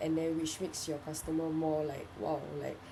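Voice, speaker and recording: A woman speaks in a fairly low pitch. Audible room echo and noticeable background noise surround her voice. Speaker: student. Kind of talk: spoken reflection. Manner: halting.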